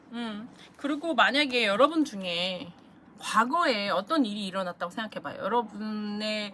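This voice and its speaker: A woman's fairly high voice at a moderate pace, lively intonation and big swings in loudness, over noticeable background noise. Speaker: tarot reader. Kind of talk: tarot reading monologue.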